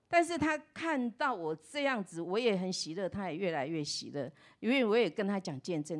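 Moderate pace paired with very wide pitch swings. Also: woman, quiet background. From Taiwan. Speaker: pastor's wife. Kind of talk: testimony. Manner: animated. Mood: warm, cheerful, grateful. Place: church. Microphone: handheld.

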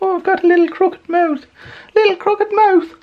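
The put-on character voice is squeaky and extremely high-pitched, going at a fairly quick pace. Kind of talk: casual vlog chat. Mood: playful, sing-song.

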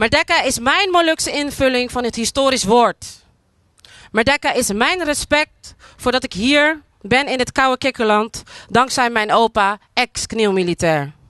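Over a quiet background, a woman with a bright, sharp, high voice speaks fairly slowly with lively intonation, the sound dry and free of echo. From Netherlands, Moluccan community. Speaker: spoken word artist. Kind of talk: public speech. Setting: outdoors at monument with audience. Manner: declamatory. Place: open country. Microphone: handheld.

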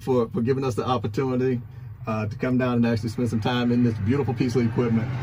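A man at a fairly quick pace with fairly even intonation, dry sound with no echo, and noticeable background noise. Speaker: vehicle video host. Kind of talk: casual vlog chat. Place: farm machine. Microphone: phone near.

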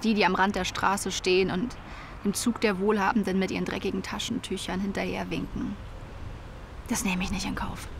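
A woman talks at a fairly quick pace in monotone, flat intonation, with a dry sound with no echo and noticeable background noise. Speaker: fictional interview character. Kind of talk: interview answer, comedic monologue. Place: garden. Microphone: lapel.

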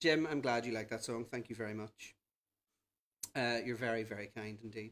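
Moderate pacing and ordinary pitch variation from a man. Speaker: cabaret host. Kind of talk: live stream host chat. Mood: playful, cheeky, chatty.

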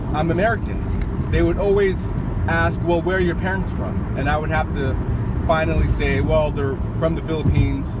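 A man speaks with a dry sound and no echo. Loud background noise runs behind him. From US West Coast. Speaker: vlogger. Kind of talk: casual storytelling monologue. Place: car. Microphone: phone near.

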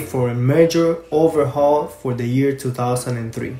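Music plays in the background as a man speaks. His intonation is fairly even. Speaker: car enthusiast video host. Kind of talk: casual talk to camera.

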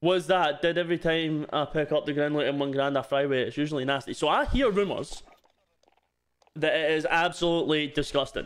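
A man with a fairly high pitch speaks at a moderate pace, his loudness very even and his intonation fairly even. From Scotland. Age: 20s. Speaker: streamer.

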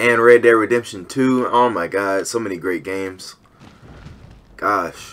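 A man's medium-pitched voice, fairly even in intonation and fairly slow, over noticeable background noise. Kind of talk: gaming commentary, angry rant. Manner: loud, profane, furious.

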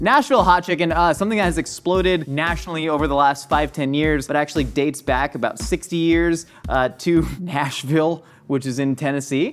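Faint music plays behind a voice that moves at a fairly quick pace with ordinary pitch variation. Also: man. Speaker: cooking show host. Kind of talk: tutorial. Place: studio. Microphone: lapel.

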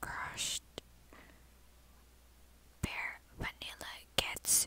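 The whispering moves at a very slow pace. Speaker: ASMR creator. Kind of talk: ASMR soft-spoken product demo. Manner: soft-spoken. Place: home room. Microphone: phone near.

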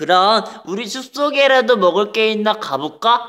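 This man uses a cartoonish character voice pitched high. He talks at a moderate pace. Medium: puppet.

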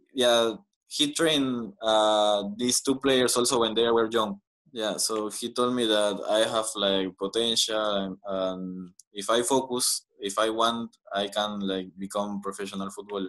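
A man's fairly low voice with a Spanish accent, fairly even intonation and a fairly slow pace, against a quiet background. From Peru, Lima; Peru. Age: 20s. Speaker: professional footballer; guest. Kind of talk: interview. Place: home room. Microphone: video call.

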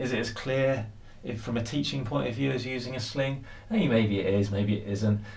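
The intonation is fairly even. The pace is moderate. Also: man. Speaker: climbing instructor. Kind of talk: tutorial. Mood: relaxed, thinking aloud. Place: home room.

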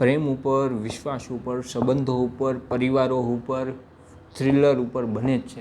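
This is a man with a medium pitch. He speaks in a flat monotone. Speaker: educator. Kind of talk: speech.

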